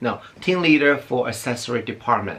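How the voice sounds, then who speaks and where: A man speaks at a moderate pace. He has a non-native accent. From outside the US. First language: not English. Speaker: beauty YouTuber. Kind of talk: personal storytelling vlog. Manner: halting, with restarts.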